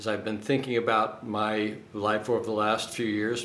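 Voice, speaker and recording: Noticeable background noise and audible room echo surround a man who speaks at a fairly slow pace. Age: 60s. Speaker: dating coach. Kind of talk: casual vlog monologue. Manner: halting, many fillers.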